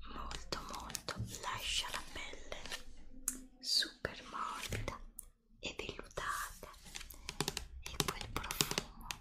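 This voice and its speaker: A woman whispers at a very slow pace. She leaves long, frequent pauses. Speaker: ASMR creator. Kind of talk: ASMR whispered product show-and-tell. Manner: whispered.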